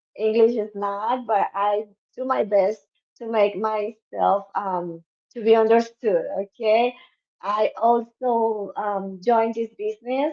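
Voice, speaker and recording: Speaking very slowly, a woman with a Spanish accent uses a fairly high pitch. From Cuba. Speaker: dentist, business member. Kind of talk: self-introduction on livestream. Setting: video livestream.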